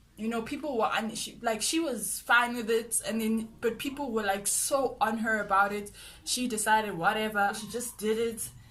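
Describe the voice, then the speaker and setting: A woman speaks at a fairly high pitch. Music plays in the background, and room echo is audible. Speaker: vlogger. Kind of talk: casual vlog monologue. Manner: fast.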